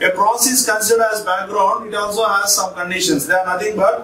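A man's raised, projected voice with audible room echo. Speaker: teacher. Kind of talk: lecture. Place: classroom.

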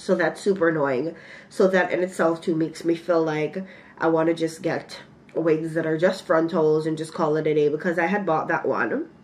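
A woman speaks at a moderate pace in a fairly low pitch, her intonation flat and monotone. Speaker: beauty vlogger. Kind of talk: casual vlog chat. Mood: mildly annoyed, relaxed. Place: home room. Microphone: phone near.

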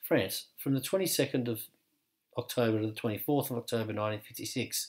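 The pitch moves in an ordinary way. It is a normal speaking voice. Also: man. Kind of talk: history documentary narration, scripted and read aloud. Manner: formal, measured, even-toned; steady, authoritative, fact-by-fact delivery.

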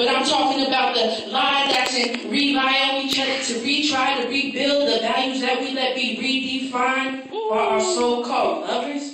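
A woman's raised, projected voice, high-pitched, at a moderate pace with fairly even intonation, amid noticeable background noise and strong room echo. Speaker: spoken word poet. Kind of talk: spoken word poetry performance. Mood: earnest, emphatic. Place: hall. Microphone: camera far.

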